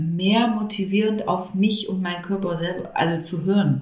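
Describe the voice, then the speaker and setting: The voice is somewhat breathy with ordinary pitch variation, and room echo can be heard. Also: woman. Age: 30s. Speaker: mother sharing home birth story. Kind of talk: interview testimony.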